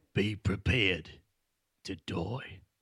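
A man performs a raspy, put-on character voice. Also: very deep, low pitch for a man. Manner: menacing, slow, dramatic pauses.

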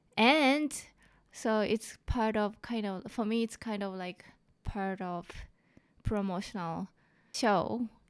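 Over a silent background in a very clean recording, a woman speaks at a very slow pace with long, frequent pauses. Her pitch is fairly high, with ordinary variation. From Japan. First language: Japanese. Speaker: comedian. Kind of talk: casual interview. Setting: studio.

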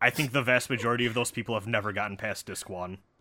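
In a very clean recording with a silent background, a man of medium pitch talks at a very fast pace in a bright, sharp tone with ordinary pitch variation. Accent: American. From Wisconsin. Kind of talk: casual chat.

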